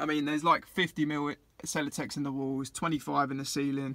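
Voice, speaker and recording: On a very clean recording with a silent background, a man with an English accent speaks at a moderate pace in a fairly high pitch with a bright, sharp tone. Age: 20s. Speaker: vlogger living in a van. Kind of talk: casual video vlog tour. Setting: inside his van.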